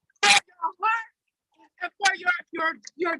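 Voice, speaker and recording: Over music in the background, a woman projects a raised voice at an extremely high pitch with ordinary pitch variation. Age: 60s. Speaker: protest speaker. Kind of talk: rally speech.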